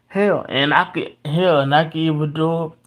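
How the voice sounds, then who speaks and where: The voice is quiet and moves at a moderate pace. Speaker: sports commentator. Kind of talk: livestream monologue. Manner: halting.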